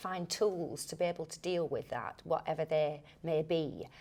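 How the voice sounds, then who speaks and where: A woman in a Lancashire accent, very deep and low in pitch, with fairly even intonation at a moderate pace. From Lancashire, England. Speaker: actor. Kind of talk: interview answer.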